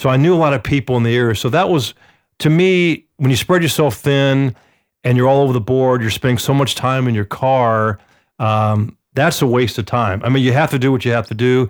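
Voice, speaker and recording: A man with an unremarkable speaking voice talks at a fairly quick pace, with ordinary pitch variation and very even loudness. The recording is very clean, with a silent background. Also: medium pitch for a man. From Atlanta, US South. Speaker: real estate agent. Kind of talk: casual chat.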